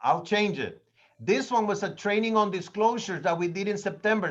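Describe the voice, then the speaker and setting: A man with a high pitch and a Spanish accent, at a fairly quick pace. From Latin America. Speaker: real estate trainer. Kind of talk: training class. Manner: animated.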